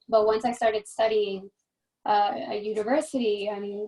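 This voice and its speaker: Speaking with an American accent, a woman has a fairly high pitch and ordinary pitch variation. Her tone is dark and mellow. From New Jersey, Hudson County. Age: 20s. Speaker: beauty pageant contestant. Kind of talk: panel talk with students.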